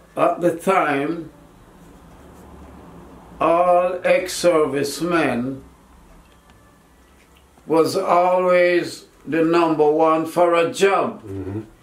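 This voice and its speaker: A man talks at a very slow pace with long, frequent pauses, in a high pitch with ordinary pitch variation. Audible room echo surrounds his voice. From Jamaica. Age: 80s+. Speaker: war veteran. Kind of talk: interview answer. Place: home room. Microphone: camera far.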